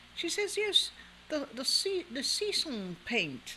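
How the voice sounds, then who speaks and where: In a put-on character voice with a British accent, a female-sounding voice speaks squeaky and high-pitched at a fairly slow pace, with clear background noise behind it. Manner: posh.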